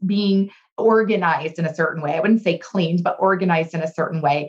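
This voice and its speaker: The voice belongs to a woman. Her pitch sits at a medium level and shifts in an ordinary way. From Southern California. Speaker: leadership speaker and trainer. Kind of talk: interview.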